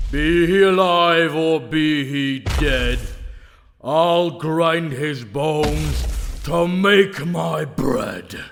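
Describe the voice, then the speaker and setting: A man talks very slowly in a put-on character voice. Music plays in the background, and an echo can be heard. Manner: menacing.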